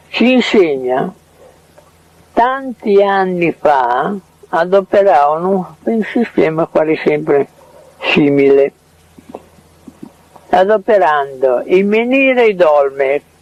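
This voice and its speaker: A man speaks very slowly in a high pitch, with very wide pitch swings, very even loudness and long, frequent pauses, in a dry, close sound with no echo over noticeable background noise. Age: 80s+. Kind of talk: casual chat. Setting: in his home. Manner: halting.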